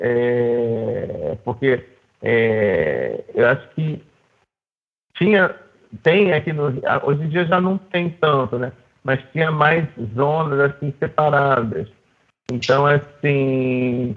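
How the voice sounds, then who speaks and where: A man with a fairly high voice and ordinary pitch variation talks at a very slow pace, leaving long, frequent pauses. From Rio de Janeiro, Zona Sul. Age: 50s. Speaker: jiu-jitsu student. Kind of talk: casual interview conversation. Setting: video call.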